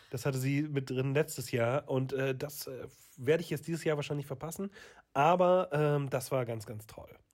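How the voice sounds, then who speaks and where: A man's somewhat breathy voice, fairly high in pitch, keeps a fairly even intonation. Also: moderate pace. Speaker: guitarist and podcast co-host. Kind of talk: casual chat.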